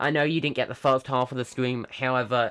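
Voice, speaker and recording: The voice is loud, with a dry, close sound and no echo, on a very clean recording with a silent background. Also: man. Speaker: tech news youtuber. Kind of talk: live stream chat. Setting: live stream at home computer. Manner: hesitant, many fillers.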